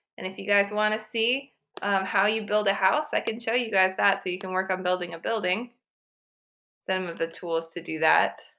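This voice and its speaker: With a normal speaking voice, a woman talks at a medium pitch and a moderate pace, using ordinary pitch variation. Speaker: online class instructor. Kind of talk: software tutorial for students. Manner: casual, many fillers.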